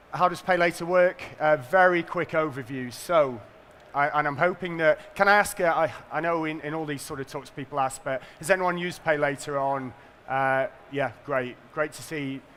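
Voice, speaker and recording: Here a man speaks at a fairly high pitch with a bright, sharp tone. His pace is moderate, with ordinary pitch variation. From northern England. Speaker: payments company executive. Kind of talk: conference presentation.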